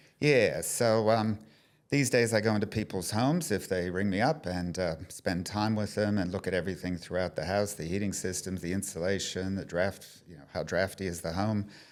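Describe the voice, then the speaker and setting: With an American accent and ordinary pitch variation, a man speaks in a fairly low voice, an unremarkable speaking voice. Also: moderate pace. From US. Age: 60s. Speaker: energy advisor. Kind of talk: casual chat. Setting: showroom.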